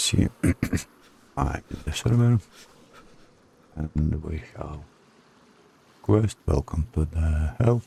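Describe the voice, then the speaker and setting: With a non-native accent and a very deep, low pitch, a man speaks at a very slow pace with lively intonation and long, frequent pauses, in a dry, close sound with no echo. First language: not English. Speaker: gaming tutorial creator. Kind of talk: screen-recorded game tutorial narration.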